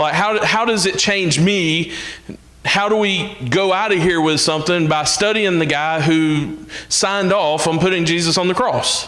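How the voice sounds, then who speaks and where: In an Alabama accent, a man with a high pitch speaks at very even loudness and with ordinary pitch variation, with audible room echo and noticeable background noise. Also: moderate pace. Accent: Southern US (Alabama). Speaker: minister. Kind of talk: sermon.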